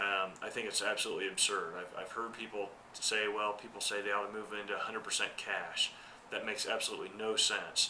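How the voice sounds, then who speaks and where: Very fast speech from a man, amid noticeable background noise and audible room echo. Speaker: accountant giving market commentary. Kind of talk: market commentary monologue. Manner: hesitant, many fillers.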